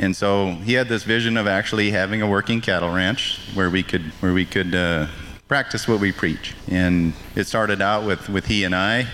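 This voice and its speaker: Fairly low in pitch, a man speaks at a moderate pace with fairly even intonation and very even loudness. Noticeable background noise runs underneath. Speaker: ranch manager. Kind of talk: casual interview.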